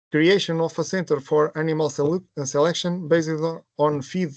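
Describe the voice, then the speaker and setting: A man with a Portuguese accent, fairly high-pitched and fairly even in intonation, in a dry, close sound with no echo. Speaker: project presenter. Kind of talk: webinar presentation. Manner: halting.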